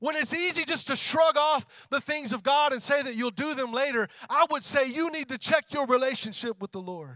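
Fairly quick and animated, a man with an extremely high pitch projects a raised voice with a bright, sharp tone, ordinary pitch variation, and dry, close sound without echo. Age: 30s. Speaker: worship pastor. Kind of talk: sermon.

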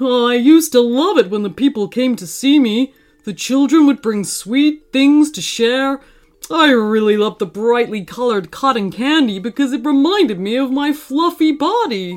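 A female-sounding voice puts on a character voice at a fairly high pitch. The pace is moderate. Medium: read story. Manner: gentle, old-fashioned, fussing.

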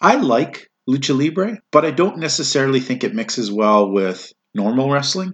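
Very wide pitch swings from a man talking at a moderate pace. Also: medium pitch for a man. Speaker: podcast host. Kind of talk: casual banter podcast. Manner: animated, joking.

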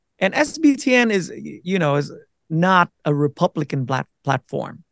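A man with a Vietnamese accent talks at a fairly slow pace. His fairly high pitch comes with lively intonation. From Vietnam, then Minnesota from age 12. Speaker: navy veteran and content creator. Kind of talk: casual interview.

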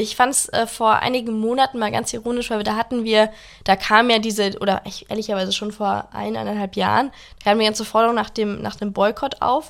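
The speaker talks fairly quickly. Pitch stays fairly even throughout. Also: woman. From Germany. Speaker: podcast co-host. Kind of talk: casual political discussion.

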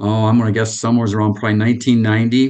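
A man speaks at a medium pitch with an Upper Midwest accent. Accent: Upper Midwest American. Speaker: retired computer salesman. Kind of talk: casual interview. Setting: video call.

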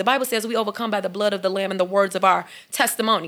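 A woman in an American accent talks at a very fast pace with an animated tone. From Chicago, South Side. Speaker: mental health counselor. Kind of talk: podcast interview.

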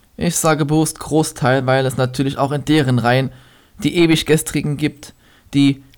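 This man speaks at a fairly high pitch. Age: 20s. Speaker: podcaster and slam poet. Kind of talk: poetry slam performance.

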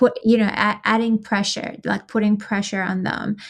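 In an Iranian accent, a woman speaks at a moderate pace and medium pitch. Her voice is somewhat breathy and her intonation monotone and flat. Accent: Iranian (Persian) accent in English. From Iran, Tehran. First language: Persian (Farsi). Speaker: activist. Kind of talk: casual interview.

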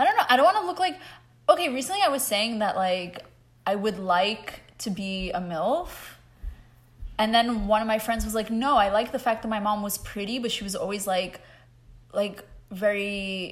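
At a moderate pace, a woman with a plain, everyday voice speaks at a fairly high pitch with lively intonation. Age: 20s. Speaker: podcast co-host. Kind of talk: casual chat.

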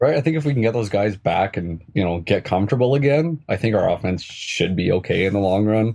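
Here is a man with a Canadian accent and an ordinary speaking voice, fairly low in pitch. He talks at a fairly quick pace with very even loudness. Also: lively intonation. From Canada, near Edmonton, Alberta. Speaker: fan guest. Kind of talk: casual interview.

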